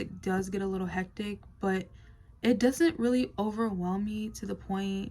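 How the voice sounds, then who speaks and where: At a fairly slow pace, this woman talks in a somewhat breathy voice of medium pitch. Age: 20s. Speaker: vlogger. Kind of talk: casual talk to camera. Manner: hesitant, many fillers.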